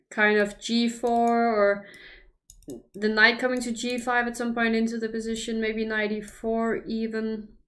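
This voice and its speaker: Here a woman speaks with a fairly high pitch. Room echo can be heard. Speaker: chess commentator. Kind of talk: casual chat with stream viewers; live commentary. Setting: livestream.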